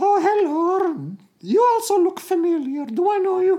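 Someone puts on a character voice with an extremely high pitch at a moderate pace. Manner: cheerful, cartoonish.

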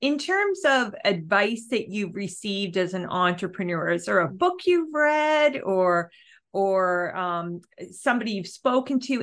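A woman with a Canadian accent speaks at a moderate pace in an unremarkable speaking voice, her pitch medium. Her intonation is lively, and the background is quiet. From Ontario, Canada. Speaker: podcast host. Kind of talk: interview.

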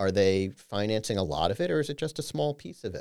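A man talks at a moderate pace with lively intonation. He has a plain, everyday voice. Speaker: financial advisor. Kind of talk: educational interview.

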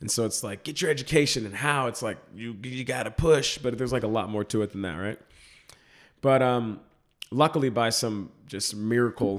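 An ordinary speaking voice from a man with an American accent, medium in pitch with ordinary pitch variation, at a fairly quick pace. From Texas, Dallas suburbs. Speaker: comedic actor. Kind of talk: casual interview.

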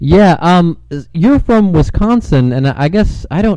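A man speaks with an American accent. Noticeable background noise runs under his voice. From US Midwest (Cleveland, Ohio). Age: 40s. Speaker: podcast host. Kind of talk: casual chat; news reading. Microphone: distorted sound.

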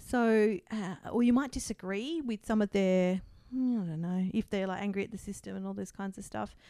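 On a very clean recording with a silent background, a woman with an Australian accent speaks at a medium pitch in a dark, mellow tone. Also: ordinary pitch variation, moderate pace. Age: 40s. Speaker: counselling psychologist and outgoing podcast host. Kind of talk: personal testimony in interview. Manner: halting, frequent restarts and fillers; laughs often.

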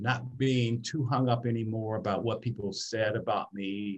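A man with an American accent speaks at a medium pitch with lively intonation. His voice is somewhat breathy. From US, Detroit, Michigan. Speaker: personal branding expert. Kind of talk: interview conversation.

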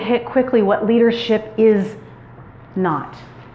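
An energetic, loud woman speaks with an American accent. Noticeable background noise and audible room echo fill the recording. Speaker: women's retreat speaker. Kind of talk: sermon-style talk to a women's retreat. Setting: stage with audience and PA system.

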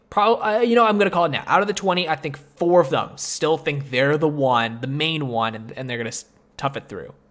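With a plain, everyday voice, a man talks at a fairly quick pace using lively intonation. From Canada. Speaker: podcast host. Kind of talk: casual chat.

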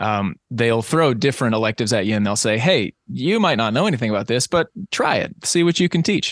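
A man with an American accent speaks in a normal speaking voice at a medium pitch and a fairly quick pace, with lively intonation and hardly any pauses. His loudness stays very even, and the sound is dry and close with no echo against a quiet background. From US South, Eastern Tennessee. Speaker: singer-songwriter and high school teacher. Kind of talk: casual interview.

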